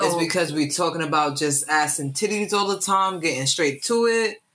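A man with a New York accent speaks in a raised, projected voice, his bright, sharp tone carried by lively intonation. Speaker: podcast co-host. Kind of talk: casual chat.

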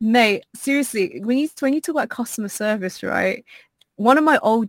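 A woman speaks with a British accent. The recording is very clean, with a silent background. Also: dry, close sound with no echo. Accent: British, proper-sounding. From Southeast London. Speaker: podcast guest, streamer. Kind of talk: polished "office voice" that can slide into casual London slang.

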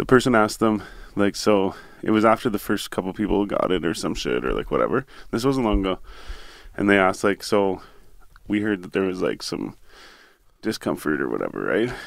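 A man with a Canadian accent talks at a fairly quick pace in a fairly low voice with ordinary pitch variation, leaving long, frequent pauses, on a very clean recording with a silent background. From Ontario, Canada (Renfrew area). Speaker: podcast co-host. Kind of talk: casual chat. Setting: studio. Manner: animated.

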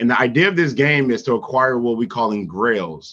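A man with a normal speaking voice talks at a moderate pace in a medium pitch with ordinary pitch variation, against a quiet background. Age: 30s. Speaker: NFT artist. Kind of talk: casual chat.

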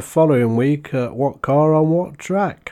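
A man speaks with a British accent in a dark, mellow tone. His pace is fairly slow, with ordinary pitch variation. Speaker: podcast host. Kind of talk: casual podcast monologue; reading aloud. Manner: hesitant.

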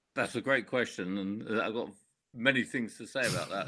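A man's medium-pitched voice with a bright, sharp tone, ordinary pitch variation and a moderate pace, on a very clean recording with a silent background. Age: 70s. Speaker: business executive and author. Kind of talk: interview.

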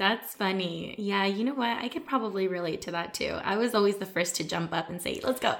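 A woman talks at a fairly quick pace with hardly any pauses. Her pitch is medium, with ordinary variation. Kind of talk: casual chat. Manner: loud.

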